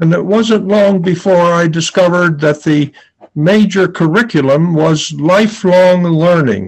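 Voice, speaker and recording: A man with an American accent, high in pitch with ordinary pitch variation, very even in loudness, fairly slow, over a quiet background. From Philadelphia area, USA. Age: 80s+. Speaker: Quaker peace activist and war tax resister. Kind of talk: personal memoir talk to an audience. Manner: slow, measured, with hesitations. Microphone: webcam.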